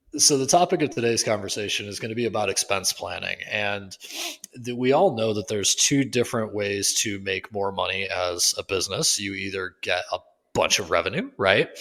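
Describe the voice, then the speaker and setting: This man has a normal speaking voice at a fairly low pitch. He talks at a fairly quick pace with ordinary pitch variation. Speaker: podcast co-host, physiotherapy clinic owner. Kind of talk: casual podcast discussion. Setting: public library. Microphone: echoey room sound.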